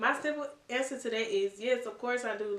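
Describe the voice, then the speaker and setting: Soft-spoken and fairly slow, a woman talks in a space with audible room echo. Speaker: vlogger. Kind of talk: casual Q&A vlog. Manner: casual, filler-heavy.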